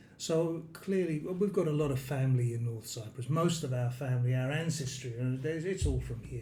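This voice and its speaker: With a dark, mellow tone and a somewhat breathy quality, a man speaks at a moderate pace and medium pitch, his pitch varying in an ordinary way amid audible room echo. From London, England. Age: 60s. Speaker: expat retiree. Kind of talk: interview. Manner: hesitant.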